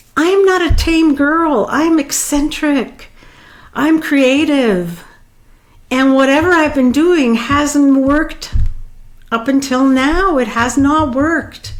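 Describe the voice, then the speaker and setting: A woman's high voice at a very slow pace, very even in loudness, with ordinary pitch variation and audible room echo. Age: 60s. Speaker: life coach. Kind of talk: personal vlog monologue. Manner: halting.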